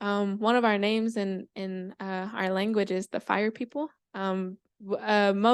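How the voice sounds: The background is quiet as a natural reading voice moves with fairly even intonation.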